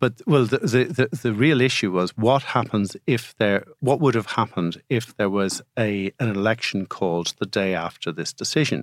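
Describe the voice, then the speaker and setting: A man with an Irish accent talks at a moderate pace and medium pitch. His intonation is lively, with hardly any pauses. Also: very clean recording, silent background. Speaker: podcast co-host, barrister. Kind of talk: legal discussion.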